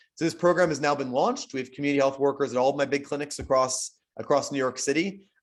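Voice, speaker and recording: A man at a very fast pace with ordinary pitch variation. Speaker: physician and health system leader. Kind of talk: invited lecture webinar. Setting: webinar.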